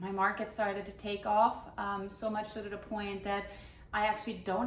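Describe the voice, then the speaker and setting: A woman of medium pitch speaks at a moderate pace with monotone, flat intonation, amid noticeable background noise and audible room echo. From Germany, moved to US at fourteen. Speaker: baker and baking instructor. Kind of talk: casual introduction vlog.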